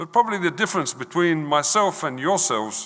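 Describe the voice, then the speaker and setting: A man in an English accent at a fairly quick pace. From London, England. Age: 70s. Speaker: visiting speaker from Israel. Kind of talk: talk at synagogue service. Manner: halting.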